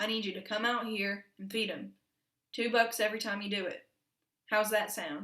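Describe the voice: Plain reading aloud with fairly even intonation and a quiet background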